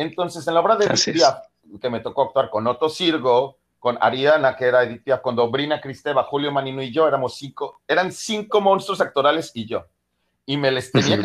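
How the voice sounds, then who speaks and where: Talking at a fairly quick pace, a man with an unremarkable speaking voice sounds fairly high in pitch with lively intonation. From Mexico City area. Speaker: singer and actor. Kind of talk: interview.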